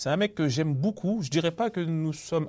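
A man's dark, mellow tone at a moderate pace, in a very clean recording with a silent background. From Paris suburbs, Villiers-le-Bel. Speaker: comedian. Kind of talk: casual interview. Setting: theatre venue.

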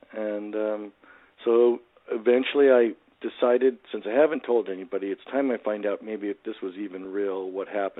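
Here is an ordinary speaking voice. It keeps a moderate pace, and the intonation is fairly even. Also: man, fairly low pitch for a man. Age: 60s. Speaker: motivational speaker and author. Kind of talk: casual interview, storytelling.

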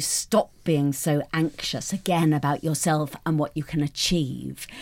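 A woman's very deep, low voice in a British accent, at a fairly slow pace. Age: 50s. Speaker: newspaper columnist. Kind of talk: casual chat. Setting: studio.

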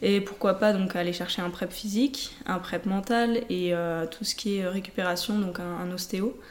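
Her pitch sits in the medium range for a woman. She speaks at a fairly slow pace. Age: 20s. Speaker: telemark ski athlete. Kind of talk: interview. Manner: halting.

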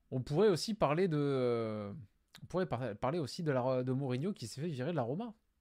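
Lively intonation rides over a dark, mellow tone at a moderate pace. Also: man, medium pitch for a man. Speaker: football YouTuber. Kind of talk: live stream, football talk and viewer Q&A. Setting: home webcam live stream.

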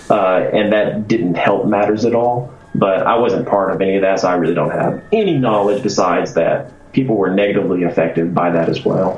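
A man with an American accent speaks at a fairly quick pace and a fairly low pitch, with ordinary pitch variation. His loudness is very even amid noticeable background noise. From Arkansas, US South. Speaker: game designer. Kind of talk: casual chat. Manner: casual, hesitant with filler words.

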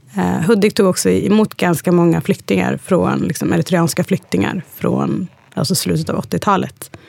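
Over noticeable background noise, a woman with a very deep, low pitch speaks at a moderate pace, her voice making very wide pitch swings. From Sweden, Hudiksvall (Hälsingland). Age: 30s. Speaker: interview guest. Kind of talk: casual interview.

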